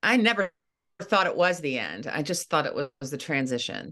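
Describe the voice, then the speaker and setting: With an American accent, a woman speaks at a moderate pace and medium pitch, her bright, sharp tone carrying vocal fry and very wide pitch swings, recorded in a dry, close sound with no echo. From eastern Ohio. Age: 60s. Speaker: former news anchor and grief coach. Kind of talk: casual interview.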